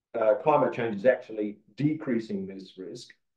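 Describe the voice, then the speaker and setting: Speaking at a medium pitch, a man talks with an Australian accent. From Australia, Perth (Western Australia). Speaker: agronomist, conference presenter. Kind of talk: conference presentation. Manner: halting, many fillers.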